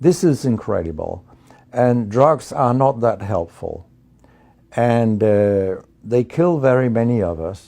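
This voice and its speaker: In a quiet background, a man with a Danish accent speaks at a very slow pace and a medium pitch, his tone dark and mellow and his intonation lively. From Denmark. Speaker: physician and professor. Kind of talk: interview monologue.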